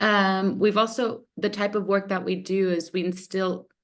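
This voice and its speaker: At a moderate pace, a woman with an American accent talks in an unremarkable speaking voice at a fairly low pitch, with a quiet background. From United States. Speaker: researcher. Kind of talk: webinar presentation.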